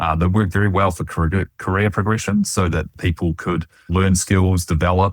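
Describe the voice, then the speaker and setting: A man in a New Zealand accent with a very deep, low pitch, monotone, flat intonation, a moderate pace and hardly any pauses, on a very clean recording with a silent background and a dry, close sound with no echo. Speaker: financial planning researcher. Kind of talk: interview conversation.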